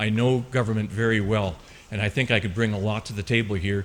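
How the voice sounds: A man talks at a fairly quick pace with fairly even intonation. His pitch sits fairly low.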